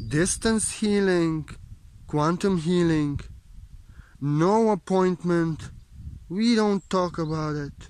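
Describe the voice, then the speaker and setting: Very slow speech with long, frequent pauses, ordinary pitch variation, and a dry sound with no echo. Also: man, high pitch for a man. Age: 30s. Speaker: spiritual teacher. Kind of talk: spiritual monologue. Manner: emotional, repetitive emphasis. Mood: calm, inward, reflective. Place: open country. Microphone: phone near.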